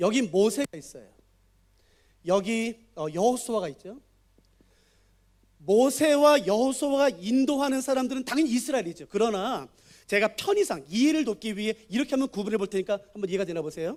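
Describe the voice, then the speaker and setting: A man with a high voice talks at a fairly quick clip with lively intonation, big swings in loudness and long, frequent pauses, on a very clean recording with a silent background. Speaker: guest preacher and Bible teacher. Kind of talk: sermon with Bible teaching. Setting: church, Friday night service. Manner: fast; interactive, asks audience questions.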